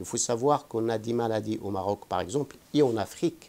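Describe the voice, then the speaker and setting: The man's pitch is medium and varies in an ordinary way. He has an ordinary speaking voice and keeps a moderate pace. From Morocco. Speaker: vaccine research scientist. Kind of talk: interview answer.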